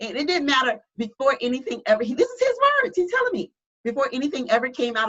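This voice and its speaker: A woman with an American accent talks with very wide pitch swings. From US South. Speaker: church member sharing personal story. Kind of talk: testimony. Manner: halting.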